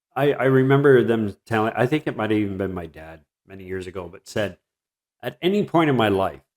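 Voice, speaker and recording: This man has an unremarkable speaking voice, fairly low in pitch, with a Canadian accent, talking at a fairly quick pace with lively intonation and big swings in loudness. The recording is very clean, with a silent background. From southwestern Ontario, Canada (Mitchell). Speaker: interview host. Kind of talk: casual interview chat.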